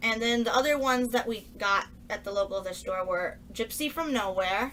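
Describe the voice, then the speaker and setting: Here a woman speaks in a plain, everyday voice, fairly high in pitch. Her pitch variation is ordinary and her pace moderate. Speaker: book haul vlogger. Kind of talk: casual haul video talk.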